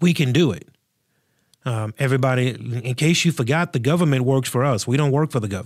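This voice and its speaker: A man's ordinary speaking voice at a medium pitch, with ordinary pitch variation and a fairly quick pace. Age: 40s. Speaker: pastor and podcast host. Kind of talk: solo podcast commentary. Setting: studio.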